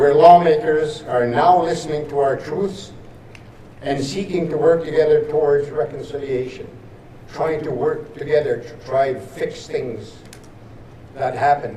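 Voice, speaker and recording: Noticeable background noise surrounds a man with a fairly high pitch. He speaks at a fairly slow pace with ordinary pitch variation. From northern Saskatchewan, Canada. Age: 80s+. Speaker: residential school survivor and veteran. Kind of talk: ceremonial speech. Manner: halting, repetitive.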